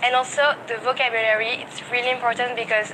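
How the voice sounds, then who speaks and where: Over noticeable background noise, a woman speaks fairly quickly in a flat, monotone way. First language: non-English. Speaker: interviewee, English learner. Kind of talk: street interview. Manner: hesitant, many fillers.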